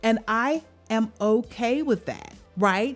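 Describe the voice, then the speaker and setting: A woman with a normal speaking voice talks at a fairly high pitch with ordinary pitch variation. The recording is very clean, with a silent background. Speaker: vocal coach and life coach. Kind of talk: motivational talk. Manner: earnest, encouraging.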